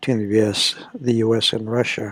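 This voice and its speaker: This man speaks at a fairly slow pace in a medium pitch. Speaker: news commentary host. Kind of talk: news review monologue. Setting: library. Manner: whispering.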